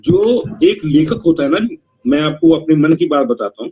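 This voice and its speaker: Lively intonation marks this man's speech. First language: Punjabi (speaking Hindi). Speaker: literary critic and ghazal poet. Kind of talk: literary review at a writers' meeting. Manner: conversational.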